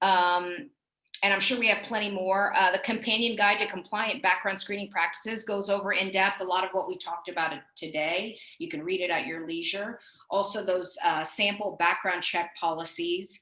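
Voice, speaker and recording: Amid audible room echo, a woman speaks at a moderate pace with fairly even intonation. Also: medium pitch for a woman. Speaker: compliance director, webinar speaker. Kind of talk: webinar presentation. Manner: hesitant fillers.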